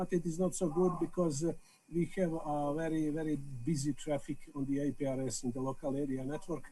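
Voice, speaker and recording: A man with a Serbian accent speaks at a fairly high pitch, his tone dark and mellow and his pitch variation ordinary. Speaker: amateur radio operator. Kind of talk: video call meeting remarks. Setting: video call. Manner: halting, many hesitations.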